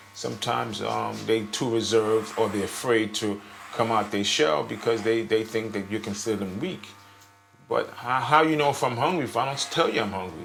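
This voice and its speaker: There is audible room echo and noticeable background noise. A man with an American accent speaks with ordinary pitch variation. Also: medium pitch for a man, moderate pace. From United States. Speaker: homeless man. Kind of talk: interview. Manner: halting.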